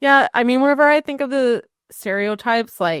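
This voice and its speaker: A woman's high voice with an Oklahoma accent and very wide pitch swings, dry and close with no echo, in a very clean recording over a silent background. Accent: Oklahoman, described as weird by herself. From Oklahoma, Cherokee Nation area. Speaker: real estate agent. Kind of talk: casual chat.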